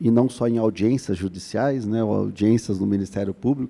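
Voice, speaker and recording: A man speaks with a dark, mellow tone and a fairly low pitch. His pitch varies in an ordinary way. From Curitiba, Paraná, southern Brazil. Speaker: labor prosecutor, conference panelist. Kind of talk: conference panel talk. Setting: conference stage with audience. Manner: hesitant, many fillers.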